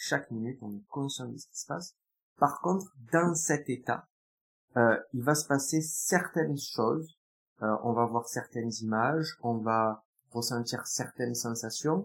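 With an unremarkable speaking voice, a man talks at a fairly slow pace, showing big swings in loudness and ordinary pitch variation. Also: medium pitch for a man. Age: 20s. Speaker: hypnotherapist. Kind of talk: interview.

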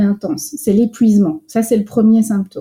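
Somewhat breathy, with a dark, mellow tone and fairly even intonation, the speaker talks in a Belgian accent. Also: woman. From France. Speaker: psychologist and coach. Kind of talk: interview.

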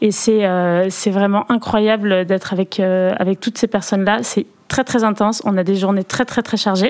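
Speaking in an ordinary speaking voice, a woman at medium pitch keeps very even loudness and fairly even intonation at a fairly slow pace. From Perpignan, southern France. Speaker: former modern pentathlete, Olympic organizing staff. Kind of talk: interview.

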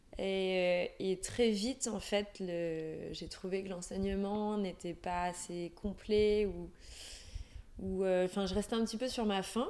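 Very slowly, a woman speaks in a dark, mellow tone at medium pitch with fairly even intonation. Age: 30s. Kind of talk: interview. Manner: halting.

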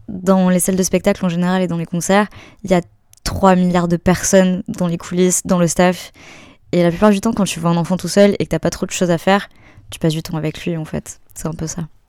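A woman's fairly low, dark, mellow voice in a monotone, flat intonation at a fairly quick pace. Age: 20s. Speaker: musician. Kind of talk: casual interview about personal life story.

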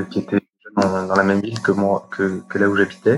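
A man's voice, fairly low in pitch. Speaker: chartered accountant. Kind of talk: interview. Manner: halting, many fillers.

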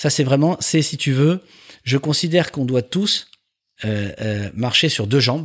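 A man's plain, everyday voice at a fairly high pitch and a fairly slow pace. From Paris, France. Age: 50s. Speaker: entrepreneur. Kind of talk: interview.

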